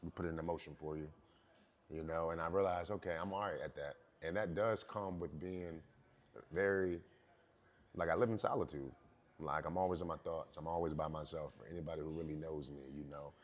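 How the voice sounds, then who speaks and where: Speaking at a fairly quick pace with long, frequent pauses, a man uses a very deep, low voice and fairly even intonation. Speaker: rapper. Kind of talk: interview.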